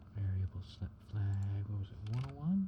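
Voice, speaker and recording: Soft-spoken and calm in tone, a man uses a fairly low pitch with lively intonation. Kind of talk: software tutorial narration, casual talk to camera. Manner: soft-spoken, calm.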